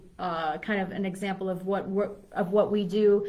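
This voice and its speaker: Over noticeable background noise and audible room echo, a woman speaks at a medium pitch with an American accent. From Chicago. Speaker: fitness coach. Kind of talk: live video talk. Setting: live stream video. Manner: fast.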